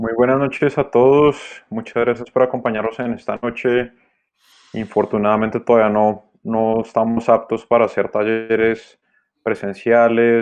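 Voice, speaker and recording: Against a quiet background, a man talks at a fairly slow pace in a monotone, flat intonation. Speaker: workshop host. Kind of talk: live stream hosting. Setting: live video stream. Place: home room. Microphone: connection drops; video call.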